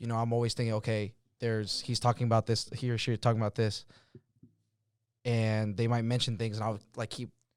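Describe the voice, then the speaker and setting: In a very clean recording with a silent background, a man talks at a very fast pace and medium pitch with monotone, flat intonation and long, frequent pauses. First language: not English. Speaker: podcast host and DJ. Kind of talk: casual chat.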